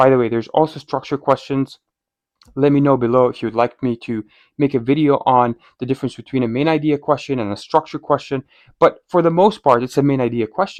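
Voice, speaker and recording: A man talks at a fairly high pitch with a non-native accent. The sound is dry and close, with no echo. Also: quiet background. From outside North America. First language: not English. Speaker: medical student and test prep coach. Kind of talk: tutorial. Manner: animated.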